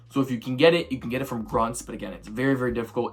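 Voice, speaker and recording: The voice shows ordinary pitch variation, with music playing in the background. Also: man. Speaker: gaming video creator. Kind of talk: gameplay commentary. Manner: fast; animated.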